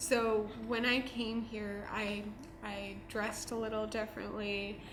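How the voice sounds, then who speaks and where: Very slow, monotone delivery with flat intonation, audible room echo and noticeable background noise. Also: woman. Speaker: student. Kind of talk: documentary interview.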